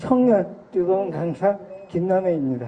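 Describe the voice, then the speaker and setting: A woman speaks at a fairly slow pace in a fairly low pitch. Noticeable background noise is present. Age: young. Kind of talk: lecture.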